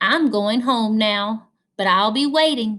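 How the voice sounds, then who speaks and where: Putting on a character voice, a woman speaks at a fairly slow pace with a fairly high pitch. The sound is gruff and rumbling. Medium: read story. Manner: gruff, grumbling.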